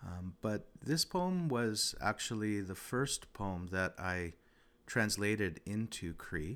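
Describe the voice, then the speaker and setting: Very slow speech with lively intonation, on a very clean recording with a silent background. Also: man, fairly low pitch for a man. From Regina, Saskatchewan, Canada. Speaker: podcast host and poet. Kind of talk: poem reading, Cree then English, with commentary. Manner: measured, rhythmic, performed delivery of poetry.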